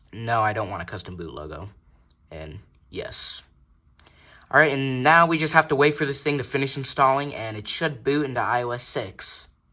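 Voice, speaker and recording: A man's mumbling at a moderate pace and medium pitch, with a bright, sharp tone, vocal fry, lively intonation and big swings in loudness. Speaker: tech YouTuber. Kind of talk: tutorial. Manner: casual.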